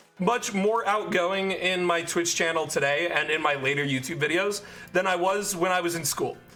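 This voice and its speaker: Music plays in the background as a man talks at a moderate pace, his high pitch moving with ordinary variation. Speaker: streamer and YouTube creator. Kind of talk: casual livestream chat. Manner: soft-spoken.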